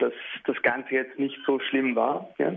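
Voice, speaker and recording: The man's fairly high voice moves at a fairly slow pace. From Beit Jala near Bethlehem, Palestine. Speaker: musician. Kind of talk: radio interview. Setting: remote line to radio studio. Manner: hesitant, many filler sounds.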